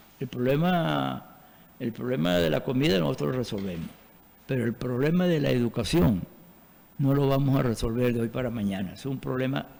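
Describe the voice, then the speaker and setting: A man's medium-pitched voice has a dark, mellow tone and very wide pitch swings. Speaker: veteran teacher. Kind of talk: TV interview. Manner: halting, many fillers.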